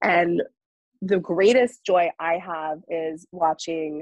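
In a dry, close sound with no echo, a woman with an American accent speaks at a very slow pace and a fairly low pitch. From US South, North Carolina. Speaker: wellness coach. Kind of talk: casual chat. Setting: studio.

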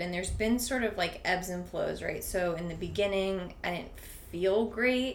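A woman with a medium-pitched voice is heard over noticeable background noise. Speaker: gym member. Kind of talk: casual chat.

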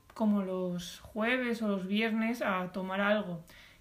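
A woman speaks with a somewhat breathy sound. Her intonation is fairly even. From Spain, Alicante province. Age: 20s. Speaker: podcast co-host, design student. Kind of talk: casual chat.

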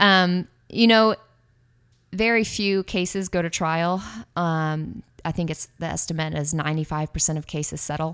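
A woman with an American accent, a normal speaking voice and fairly low pitch, ordinary pitch variation, a moderate pace, on a very clean recording with a silent background. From Austin, Texas. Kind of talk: casual interview.

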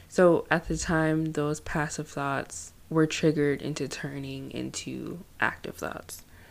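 A woman at a fairly slow pace with hardly any pauses, on a very clean recording with a silent background. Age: 20s. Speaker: podcast host. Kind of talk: personal monologue on mental health. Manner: hesitant, many fillers.

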